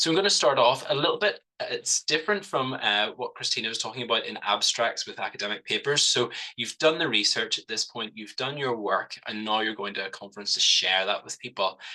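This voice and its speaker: Fairly quick and with hardly any pauses, a man with a Northern Irish accent speaks at a medium pitch in a bright, sharp tone, his loudness swinging widely. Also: lively intonation. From Northern Ireland, Belfast. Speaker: cancer nurse researcher. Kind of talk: webinar presentation.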